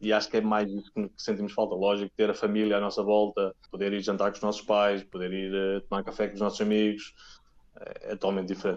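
Fairly quick and monotone, a man talks at a fairly low pitch with flat intonation. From Portugal, Oliveira do Bairro near Aveiro. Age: 30s. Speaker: tennis physiotherapist. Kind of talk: interview. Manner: halting, many repeated words.

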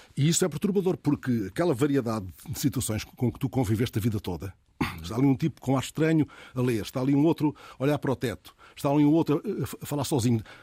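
Very fast and lively in intonation, a man speaks at medium pitch with a dark, mellow tone and a somewhat breathy quality. The sound is dry and close with no echo, on a very clean recording with a silent background. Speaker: radio host. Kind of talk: casual chat. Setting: studio.

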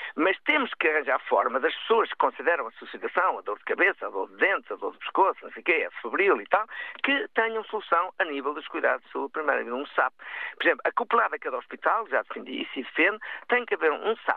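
The delivery runs at a very fast pace with big swings in loudness. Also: man. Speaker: hospital administrator and volunteer fire brigade president. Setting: phone call.

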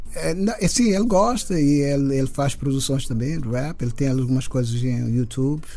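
With lively intonation and hardly any pauses, a man speaks amid audible room echo. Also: fairly high pitch for a man, moderate pace. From Cape Verde, São Vicente. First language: Cape Verdean Creole (speaking Portuguese). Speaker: musician. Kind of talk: radio interview. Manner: halting.

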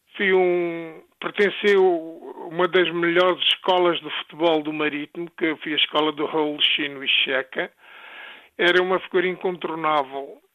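A man's high-pitched voice, fairly even in intonation, at a fairly slow pace. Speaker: former footballer. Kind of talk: interview testimony.

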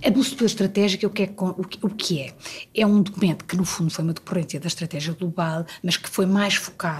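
Her European Portuguese accent clear, a woman talks at a fairly quick pace and medium pitch with ordinary pitch variation. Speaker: diplomat. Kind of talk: interview. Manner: halting.

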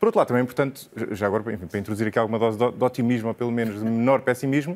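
A man's voice with ordinary pitch variation. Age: 30s. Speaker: economist and podcaster. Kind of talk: TV debate. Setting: TV studio.

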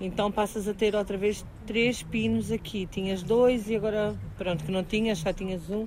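Monotone, flat intonation from a woman at a medium pitch and a moderate pace. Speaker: mobility trainer for the blind. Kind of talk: guided training, casual conversation. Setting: outdoors in the street.

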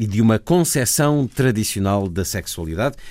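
A man's plain, everyday voice, fairly slow in pace, with lively intonation. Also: very clean recording, silent background. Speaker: radio host. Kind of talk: news reading.

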